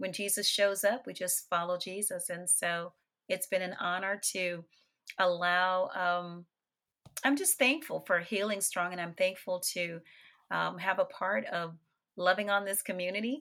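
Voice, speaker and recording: A woman with an American accent speaks at a fairly slow pace in a bright, sharp tone, medium in pitch with ordinary pitch variation, in a very clean recording with a silent background. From New Orleans, Louisiana. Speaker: actress and playwright. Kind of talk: casual interview chat.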